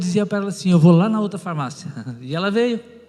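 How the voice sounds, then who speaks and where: A high-pitched man speaks at a very fast pace. His pitch variation is ordinary. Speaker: pastor and former pharmacist. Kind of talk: testimony.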